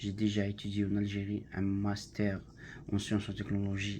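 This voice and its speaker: A man's fairly low voice at a moderate pace, with music in the background. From Algeria. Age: 20s. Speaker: language student, factory worker. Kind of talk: class self-introduction presentation. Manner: halting, many hesitations.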